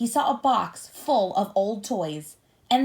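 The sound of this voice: Lively intonation runs through the clip. The voice reads aloud in an unforced way.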